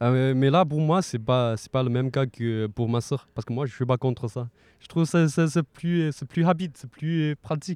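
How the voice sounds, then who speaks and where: A man with a Chinese accent talks at medium pitch, recorded with a dry, close sound, no echo and a quiet background. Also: ordinary pitch variation, moderate pace. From China. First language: Mandarin Chinese (speaking French). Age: 20s. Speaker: student. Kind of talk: casual interview. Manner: halting, frequent repetitions.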